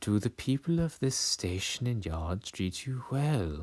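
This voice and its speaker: Using a put-on character voice at a medium pitch, a man speaks at a fairly slow pace on a very clean recording with a silent background. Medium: read story. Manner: smarmy, mysterious.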